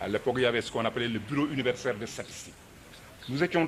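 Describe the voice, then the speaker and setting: A man at a very fast pace. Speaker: former student activist. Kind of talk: commemorative talk.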